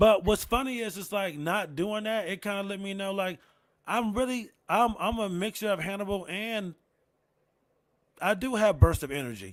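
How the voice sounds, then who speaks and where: A mumbling man with an American accent, high pitch, ordinary pitch variation and moderate pace, in a very clean recording with a silent background. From Rochester, New York. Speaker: comedian. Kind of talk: casual chat. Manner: low energy.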